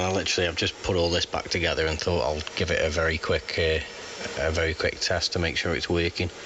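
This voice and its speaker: Over noticeable background noise, a man with a very deep, low voice speaks at a very fast pace. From Staffordshire, England. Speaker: amateur radio operator. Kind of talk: ham radio on-air chat. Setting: radio transmission. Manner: halting, many fillers.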